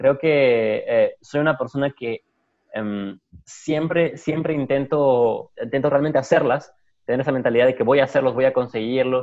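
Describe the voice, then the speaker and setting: In a plain, everyday voice, a man with a fairly high pitch talks at a moderate pace with ordinary pitch variation. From Peru, Puno. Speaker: sales professional. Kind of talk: interview.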